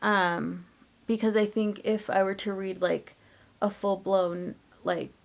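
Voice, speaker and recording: In a flat, monotone delivery at medium pitch, a woman speaks at a very slow pace with long, frequent pauses. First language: Spanish. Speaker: book vlogger. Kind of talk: casual vlog talk. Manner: casual, many fillers (um, like).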